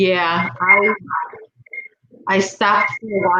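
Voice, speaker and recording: A woman speaks with a Chicago accent. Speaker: fellow crocheter. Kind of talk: casual chat.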